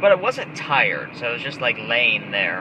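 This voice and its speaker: Moderately paced speech from a man against noticeable background noise. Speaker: webcomic artist. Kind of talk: casual vlog while driving.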